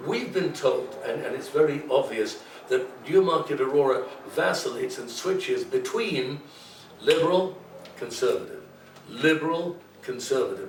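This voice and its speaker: A man at a moderate pace, with audible room echo and noticeable background noise. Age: 70s. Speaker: political candidate. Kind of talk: campaign pitch in interview. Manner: animated.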